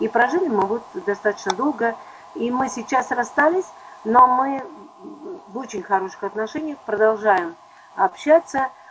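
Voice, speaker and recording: A fairly high-pitched female voice at a moderate pace, with noticeable background noise. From Don region, southern Russia. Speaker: psychologist. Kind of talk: interview.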